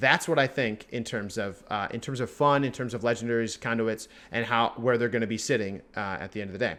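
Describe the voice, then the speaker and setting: Hardly pausing, a man with a medium pitch speaks at a fairly quick pace in a bright, sharp tone with fairly even intonation. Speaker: gaming video creator. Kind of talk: tier list commentary. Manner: fast.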